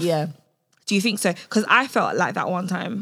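A woman talks at a fairly quick pace, her medium pitch showing ordinary variation. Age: 20s. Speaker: podcast co-host. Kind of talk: casual chat. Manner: animated.

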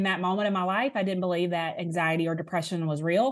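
Over a quiet background, a woman with a Southern US accent speaks at a fairly quick pace in a fairly low voice. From Alabama, US South. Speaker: author and speaker. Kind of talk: casual interview conversation.

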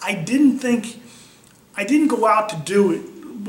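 A man talks with lively intonation. Noticeable background noise and audible room echo come through. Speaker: wheelchair athlete. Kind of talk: personal testimony interview. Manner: conversational, with fillers and restarts.

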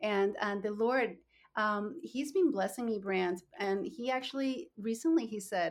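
Speaking at a fairly slow pace, a woman with a Spanish accent uses a fairly high pitch and lively intonation. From Colombia (Bogotá). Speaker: nonprofit founder. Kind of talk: interview.

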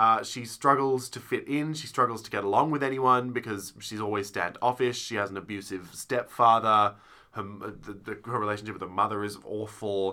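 Fairly even intonation in an Australian accent at a moderate pace, with big swings in loudness and a very clean recording against a silent background. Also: man, medium pitch for a man. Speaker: theatre podcast co-host. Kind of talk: casual chat.

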